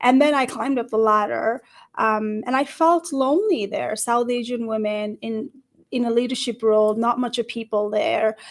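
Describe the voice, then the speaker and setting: The woman's high voice shows ordinary pitch variation. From Nepal. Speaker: career coach. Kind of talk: livestream panel discussion. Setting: livestream video call.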